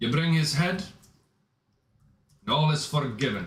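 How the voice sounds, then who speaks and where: A man does a gruff put-on character voice at a fairly high pitch. He talks at a moderate pace, and the sound has an audible echo. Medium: actual play. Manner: gruff, throat-clearing.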